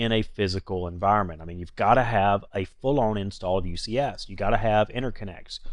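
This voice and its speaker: A man with a North Carolina accent speaks at a fairly quick pace. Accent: North Carolina Southern. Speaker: IT trainer and network engineer. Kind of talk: tutorial. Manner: casual, conversational with fillers.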